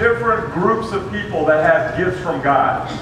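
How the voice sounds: Background noise is clearly heard, along with audible room echo. The voice shows ordinary pitch variation. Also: man.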